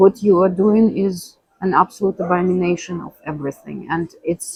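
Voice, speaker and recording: In a dry, close sound with no echo, a woman with a Russian accent speaks at a moderate pace in a medium pitch, somewhat breathy, with fairly even intonation and big swings in loudness. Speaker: interviewee. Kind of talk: interview conversation. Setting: cafe.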